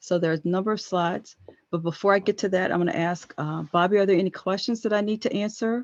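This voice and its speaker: A woman with an American accent, fairly quick and fairly even in intonation, against a quiet background. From US South, Chesapeake, Virginia. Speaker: government patent office presenter. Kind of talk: webinar presentation. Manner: fast.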